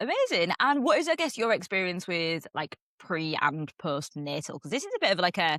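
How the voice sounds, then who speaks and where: In a Yorkshire accent, a woman speaks at medium pitch and a moderate pace with hardly any pauses. Her tone is bright and sharp, with very wide pitch swings, and the sound is dry and close with no echo. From Yorkshire, northern England. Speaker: podcast host. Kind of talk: casual chat.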